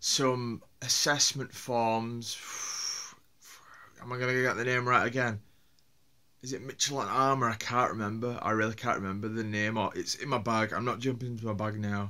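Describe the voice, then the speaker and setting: The speaker has a strong Yorkshire accent and a bright, sharp tone. Delivery comes at a moderate pace with fairly even intonation and long, frequent pauses. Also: man, medium pitch for a man. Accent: broad Yorkshire. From Yorkshire, northern England. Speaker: vlogger. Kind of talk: casual vlog monologue. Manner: halting, with many fillers and repeats.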